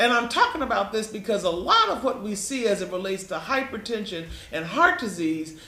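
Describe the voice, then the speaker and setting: A high-pitched man's raised, projected voice in an American accent, lively intonation, moderate pace, audible room echo and noticeable background noise. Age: 70s. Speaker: health educator presenting to patients. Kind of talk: health lecture with slides. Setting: live stream presentation. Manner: conversational, repetitive.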